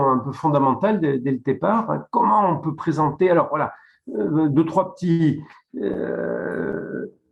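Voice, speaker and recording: A man speaks at a very slow pace. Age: 60s. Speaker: dentist. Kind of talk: webinar presentation. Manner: halting.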